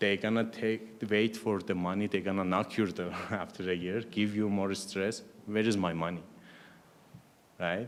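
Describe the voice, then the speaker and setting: Monotone, flat intonation in a non-native accent. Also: man, fairly low pitch for a man, moderate pace. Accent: foreign. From Iran. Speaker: biotech startup founder. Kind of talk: panel discussion.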